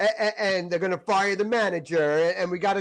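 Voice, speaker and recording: A man talks in a raised, projected voice. His pitch is high, with ordinary variation. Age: 60s. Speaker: celebrity interviewer and author. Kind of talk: casual chat. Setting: podcast. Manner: animated.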